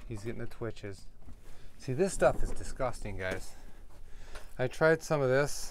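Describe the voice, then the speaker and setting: Over light background noise, a man talks at a moderate pace with lively intonation and long, frequent pauses, the sound dry with no echo. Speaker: RV dweller vlogger. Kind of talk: casual vlog talk to camera. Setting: outdoors in desert RV camp. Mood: frustrated, complaining. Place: home room. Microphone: phone near.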